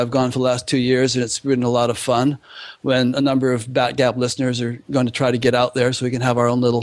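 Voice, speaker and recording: His voice sits at a medium pitch. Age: 60s. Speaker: online show host. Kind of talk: interview. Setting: podcast.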